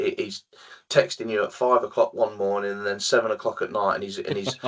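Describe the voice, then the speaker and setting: The speech moves at a fairly quick pace with an English accent. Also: man. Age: 40s. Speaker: sales manager in EV charging industry. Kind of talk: podcast interview. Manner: halting, many fillers and repetitions.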